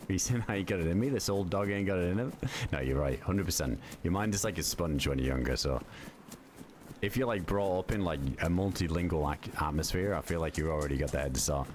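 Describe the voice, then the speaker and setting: The speech runs at a very fast pace with lively intonation. Its loudness stays very even. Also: man, very deep, low pitch for a man. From UK. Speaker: gaming streamer. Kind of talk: casual chat. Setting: livestream. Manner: animated.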